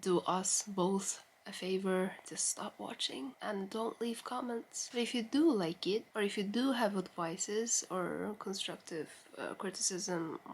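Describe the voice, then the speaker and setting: Speaking with a non-native accent, a woman moves at a fairly slow pace with ordinary pitch variation. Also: medium pitch for a woman. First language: not English. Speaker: vlogger. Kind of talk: casual chat. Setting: bedroom, late at night. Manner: rambling, informal.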